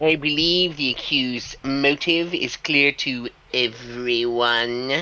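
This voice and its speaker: Someone performs a put-on character voice. It sits at a low-to-middle pitch and moves at a fairly slow pace. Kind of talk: deadpan.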